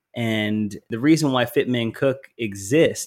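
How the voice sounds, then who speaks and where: With an American accent, a man uses an unremarkable speaking voice at a medium pitch and ordinary pitch variation. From US South. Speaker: wellness entrepreneur. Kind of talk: casual interview chat.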